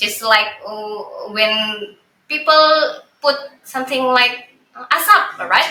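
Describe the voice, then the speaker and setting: This woman speaks with a non-native accent and ordinary pitch variation. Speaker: podcast co-host. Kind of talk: casual chat. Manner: halting.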